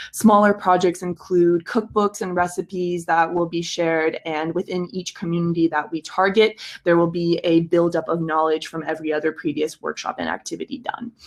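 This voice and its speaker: A woman with an unremarkable speaking voice, fairly low in pitch, at a fairly quick pace with fairly even intonation. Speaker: project pitch presenter. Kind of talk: project pitch. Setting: video call.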